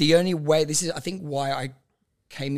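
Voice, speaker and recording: Speaking at a fairly quick pace with fairly even intonation, a man uses an ordinary speaking voice on a very clean recording with a silent background. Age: 30s. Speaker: amateur boxer and mental health advocate. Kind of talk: casual chat.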